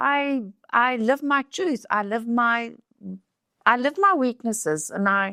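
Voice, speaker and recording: In a South African accent, a woman speaks at a very slow pace with long, frequent pauses, a fairly high pitch, lively intonation and a bright, sharp tone on a very clean recording with a silent background. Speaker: beauty pageant queen. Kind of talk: podcast interview. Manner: halting.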